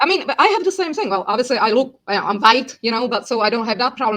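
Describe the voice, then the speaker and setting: Speaking at a very fast pace, a woman has a Czech accent. Her pitch swings very widely. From Czechia, Prague. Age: 50s. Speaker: language teacher and interpreter. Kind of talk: casual interview chat.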